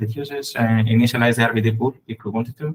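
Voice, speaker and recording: Somewhat breathy speech comes through at a fairly quick rate. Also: man. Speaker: software engineer presenting. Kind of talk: technical presentation. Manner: fast.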